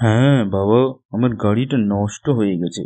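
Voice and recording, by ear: In a cartoonish character voice, a man speaks at a medium pitch.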